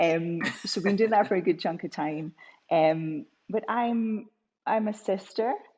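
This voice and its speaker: Speaking at a fairly slow pace with long, frequent pauses, a woman with a Scottish accent has a medium-pitched, dark, mellow voice and ordinary pitch variation on a very clean recording with a silent background. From Scotland. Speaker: business coach. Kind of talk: interview. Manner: halting.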